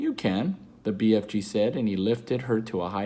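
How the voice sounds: The speaker uses a natural reading voice. That voice is the whole of the clip.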